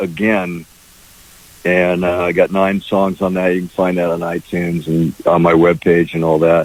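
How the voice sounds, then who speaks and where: Noticeable background noise can be heard throughout. The delivery keeps a moderate speed. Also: man. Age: 60s. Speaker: singer-songwriter. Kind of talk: radio interview. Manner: halting, many fillers.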